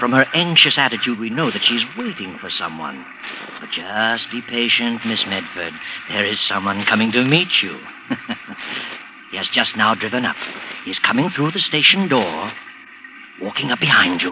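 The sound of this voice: Through clear background noise, a man does a put-on character voice at medium pitch, hissing, with very wide pitch swings, a moderate pace and long, frequent pauses.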